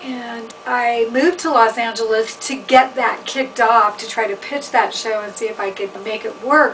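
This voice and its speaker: Speaking at a moderate pace with ordinary pitch variation, a woman with a fairly high pitch is heard over noticeable background noise. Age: 50s. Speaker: chef and writer. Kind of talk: personal testimony. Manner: casual, hesitant with fillers.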